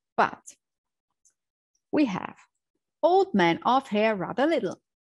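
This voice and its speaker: A woman with a non-native accent speaks at a fairly slow pace, her pitch swinging very widely over a quiet background. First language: German. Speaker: language teacher. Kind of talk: tutorial.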